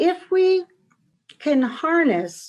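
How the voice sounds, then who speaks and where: A woman talks with an American accent. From US Northeast, Stratford, Connecticut. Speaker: wellness professor and author. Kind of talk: interview.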